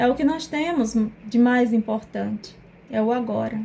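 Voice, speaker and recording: With a strong northeastern Brazilian accent, a woman speaks very slowly at a fairly high pitch. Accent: Northeastern Brazilian accent, kept strong. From Northeast Brazil. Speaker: psychoanalyst. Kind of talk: personal testimony to camera.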